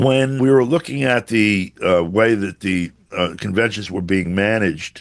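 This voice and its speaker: With lively intonation, a man talks in a very deep, low pitch. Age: 70s. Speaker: journalist. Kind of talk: interview commentary. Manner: halting with many fillers.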